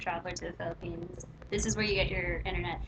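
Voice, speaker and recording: Noticeable background noise runs behind a woman who has an American accent. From California. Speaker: vlogger. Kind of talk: casual chat.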